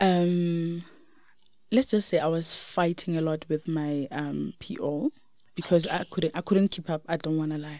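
A woman speaks in a South African accent with a dark, mellow tone. Her pace is fairly slow and her intonation fairly even. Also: fairly low pitch for a woman. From South Africa, Limpopo. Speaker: teacher. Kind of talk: interview. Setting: studio. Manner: soft-spoken; quiet.

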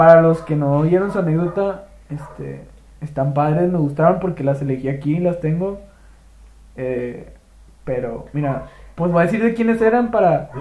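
A man's fairly high voice has a dark, mellow tone and ordinary pitch variation. He talks at a moderate pace with long, frequent pauses, and the room echo is audible. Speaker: podcast host. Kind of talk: casual chat.

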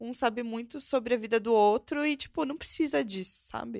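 Her pitch sits fairly high, and this woman's voice rises and falls in an ordinary way. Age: 20s. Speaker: podcast host. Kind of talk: casual chat.

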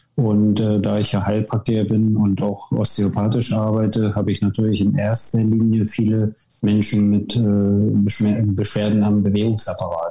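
Over noticeable background noise, a man with a fairly low pitch talks at a moderate pace with very even loudness, hardly any pauses and monotone, flat intonation. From northern Germany, Wismar (former GDR). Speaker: naturopath and osteopath. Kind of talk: podcast interview.

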